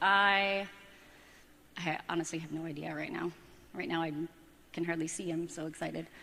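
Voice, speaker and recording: In a room with audible echo, a woman speaks at a moderate pace with long, frequent pauses. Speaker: audience member. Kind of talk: on-stage conversation. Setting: stage with audience. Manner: halting.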